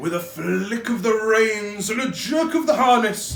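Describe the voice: Plain reading aloud makes up the clip. Its intonation moves in a lively way.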